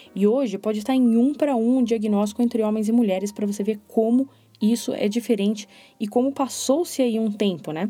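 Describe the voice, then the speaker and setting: This woman's voice sits fairly high in pitch, with a dark, mellow tone and a somewhat breathy quality. She talks at a fairly quick pace with ordinary pitch variation. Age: 30s. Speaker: podcast host. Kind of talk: solo podcast monologue. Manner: expressive.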